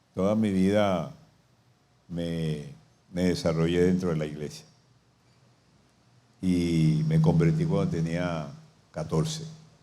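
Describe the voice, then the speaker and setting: A man's very deep, low voice in a dark, mellow tone, very slow with long, frequent pauses and ordinary pitch variation, in audible room echo. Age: 70s. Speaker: pastor. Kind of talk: sermon.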